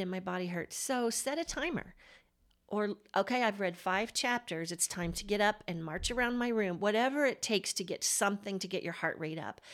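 Speaking at a fairly quick pace, a woman with a normal speaking voice uses lively intonation at a medium pitch. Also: very clean recording, silent background. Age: 50s. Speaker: podcast host. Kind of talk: casual interview chat.

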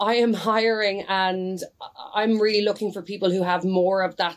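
A woman with a Dublin accent talks at a moderate pace in a fairly high pitch, on a very clean recording with a silent background. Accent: Dublin Irish. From Dublin, Ireland (Rathmines). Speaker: sales executive. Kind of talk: interview.

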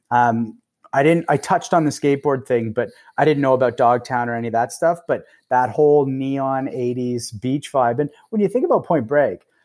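A man with a Canadian accent speaks in an ordinary speaking voice at a medium pitch with ordinary pitch variation. His pace is fairly quick, and the recording is very clean with a silent background. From Canada. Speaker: actor. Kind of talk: casual chat. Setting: podcast recording.

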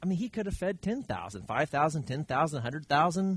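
A man at a moderate pace, fairly high-pitched, with very wide pitch swings. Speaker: Bible study teacher. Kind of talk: Bible study teaching. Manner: halting.

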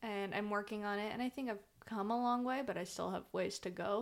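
A woman with a normal speaking voice talks fairly quickly at a fairly high pitch, keeping her intonation fairly even. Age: 20s. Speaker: podcast co-host, daughter. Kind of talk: casual chat.

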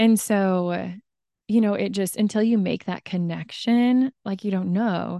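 In a dry, close recording with no echo and a quiet background, a woman with a calm, dark and mellow tone speaks at a medium pitch, a fairly slow pace and with fairly even intonation. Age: 30s. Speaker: stay-at-home mom and running coach. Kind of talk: interview testimony.

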